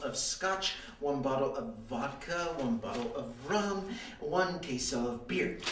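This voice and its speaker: A man talks at a very slow pace. Noticeable background noise and audible room echo surround him. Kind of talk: scripted comedy dialogue. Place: office.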